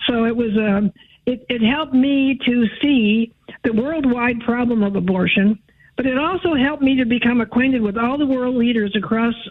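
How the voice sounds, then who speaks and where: A woman with an American accent talks at a moderate pace in a high pitch. Her loudness stays very even, and her pitch varies in an ordinary way. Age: 80s+. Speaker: pro-life activist. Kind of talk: interview testimony.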